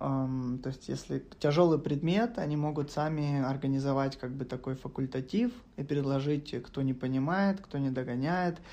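Speaking at a fairly slow pace, this man has a fairly high pitch, a dark, mellow tone and ordinary pitch variation. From Ukraine, Kharkiv. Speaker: web developer. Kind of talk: casual chat.

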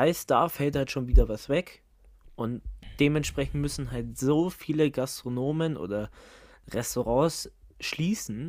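The speech is fairly slow, broken by long, frequent pauses. The recording is very clean, with a silent background. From Germany. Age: 20s. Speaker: podcast co-host. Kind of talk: casual chat.

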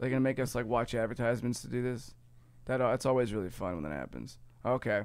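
A man's very fast speech with an American accent, medium pitch and ordinary pitch variation. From US Midwest, Ohio. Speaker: podcast host. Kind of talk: casual chat.

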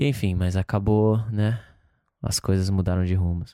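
The man's voice has a dark, mellow tone at a fairly slow pace. The recording is very clean with a silent background. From Brazil, Campo Grande, Mato Grosso do Sul. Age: 20s. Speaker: touring musician. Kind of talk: casual chat. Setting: home.

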